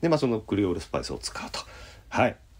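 Vocal fry marks this man's speech, and his pitch swings very widely. The background is silent on a very clean recording. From Osaka, Japan. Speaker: jazz pianist. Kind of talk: casual radio-style talk show.

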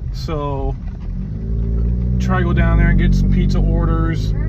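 Loud background noise fills the clip as a man speaks at a fairly slow pace. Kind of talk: casual vlog chat. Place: car. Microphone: phone near.

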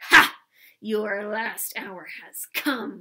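A woman puts on a character voice at medium pitch, with hissing throughout. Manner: hissed, menacing.

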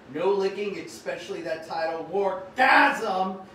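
There is noticeable background noise as a man talks at a very slow pace. His pitch is high. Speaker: online shopping show host. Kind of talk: live stream shopping show, casual talk to viewers. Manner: upbeat.

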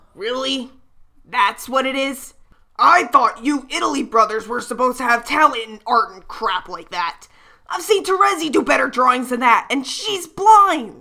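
A put-on character voice at a moderate pace. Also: female-sounding voice, high pitch for a woman. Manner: angry, ranting.

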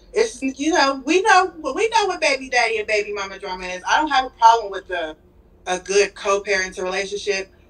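A woman speaks at a fairly high pitch. Her pitch swings very widely. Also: fairly quick pace. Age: 30s. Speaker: caller. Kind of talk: casual chat. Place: home room. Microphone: video call.

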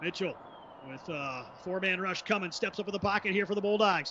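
The speaker has an energetic, excited tone. Noticeable background noise runs under the voice. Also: man. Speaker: play-by-play commentator. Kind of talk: live sports commentary, play-by-play of a football game. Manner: fast, energetic play-by-play delivery, excited on big plays.

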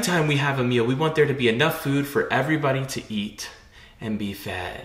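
A man speaks at a fairly quick pace with lively intonation. His tone is fairly bright.

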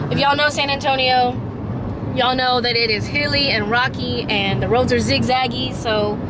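A woman talks at a moderate pace in a dry sound with no echo, under loud background noise. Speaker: vlogger. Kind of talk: casual vlog chat. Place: car. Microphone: phone near.

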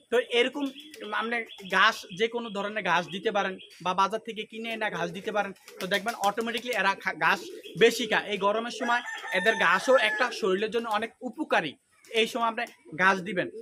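A raised, projected voice with ordinary pitch variation over noticeable background noise. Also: man, high pitch for a man. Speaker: duck farmer and YouTuber. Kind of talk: farming tutorial.

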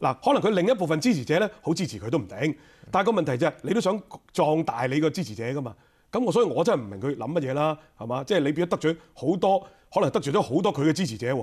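Against a quiet background, a man with a fairly high pitch races along at a very fast pace, his pitch swinging very widely. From Hong Kong. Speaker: legislator; interview guest. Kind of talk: radio interview. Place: studio. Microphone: lapel.

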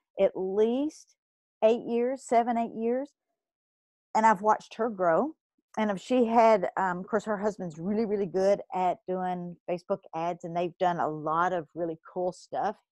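In a Kentucky accent, a woman speaks at a fairly slow pace with ordinary pitch variation in a dry, close sound with no echo. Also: quiet background. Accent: Southern US (Kentucky). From Kentucky, US South. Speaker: podcast host, blogger and entrepreneur. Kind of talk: solo podcast monologue, motivational business advice. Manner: casual, filler-heavy (um, uh); expressive, talks with her hands.

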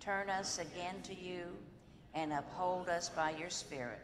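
Against noticeable background noise, a woman speaks at a very slow pace in a fairly low pitch with ordinary pitch variation. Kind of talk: liturgical prayer. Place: church.

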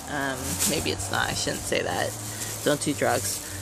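The recording is dry, with no echo. Noticeable background noise is present. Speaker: vlogger. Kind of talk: casual haul vlog chat. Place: home room. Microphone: phone near.

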